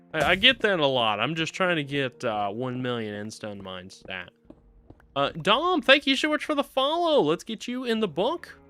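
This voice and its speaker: Noticeable background noise sits behind a man speaking at a fairly high pitch. His loudness swings widely and his pitch swings very widely. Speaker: Minecraft streamer. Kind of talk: live stream chat. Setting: live stream. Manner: fast.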